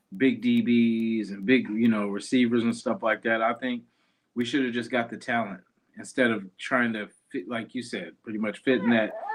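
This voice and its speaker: A man with a normal speaking voice and a medium pitch talks at a moderate pace. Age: young. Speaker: sports podcast host. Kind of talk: casual chat.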